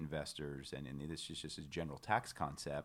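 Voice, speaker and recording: A man's voice is captured on a very clean recording, the background silent. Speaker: financial advisor, firm president. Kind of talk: podcast interview.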